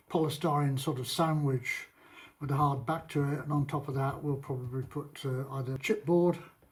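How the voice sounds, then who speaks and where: A man's somewhat breathy, fairly high voice with a British accent, fairly even intonation and a moderate pace. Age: 70s. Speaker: vlogger and property renovator. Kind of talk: casual vlog talk. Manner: halting, with many fillers.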